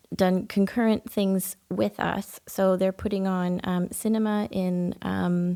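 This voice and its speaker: At a very slow pace, the speaker uses a dark, mellow tone and fairly even intonation in a Canadian accent. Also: woman, medium pitch for a woman. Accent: Canadian, noted as a nice lilt. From Canada, Ontario. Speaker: poet and festival volunteer coordinator. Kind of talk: podcast interview. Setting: recording at a historic house.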